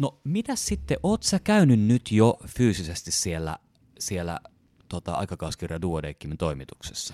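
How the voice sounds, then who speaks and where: In a very clean recording with a silent background and a dry, close sound with no echo, a man with a very deep, low pitch speaks fairly slowly with lively intonation. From Helsinki, Finland. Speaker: physician and podcast host. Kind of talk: interview. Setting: studio.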